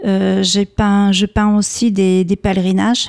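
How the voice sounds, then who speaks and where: Heard in a dry, close sound with no echo, a woman speaks at a medium pitch with a dark, mellow tone. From France, Bordeaux. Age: 50s. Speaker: painter. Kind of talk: radio interview.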